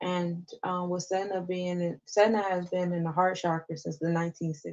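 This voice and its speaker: The delivery is monotone with flat intonation and hardly any pauses. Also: woman, fairly low pitch for a woman. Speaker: astrology podcast host. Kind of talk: live-stream astrology forecast. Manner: fast. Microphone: voice echoing.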